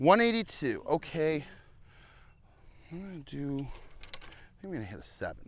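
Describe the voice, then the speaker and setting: Pausing long and often, a man speaks at a moderate pace with a fairly high pitch, lively intonation and big swings in loudness. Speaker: golf content creator. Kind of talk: casual chat.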